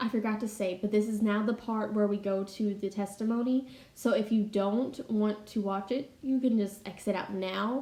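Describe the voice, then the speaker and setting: A woman with a fairly high pitch and a dark, mellow tone speaks at a moderate pace with hardly any pauses. Her voice is somewhat breathy and her intonation fairly even. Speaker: Bible study YouTuber. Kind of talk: casual voiceover.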